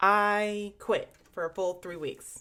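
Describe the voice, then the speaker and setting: In a very clean recording with a silent background, a woman talks in an animated, bright and sharp tone. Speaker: trading vlogger. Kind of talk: casual vlog monologue.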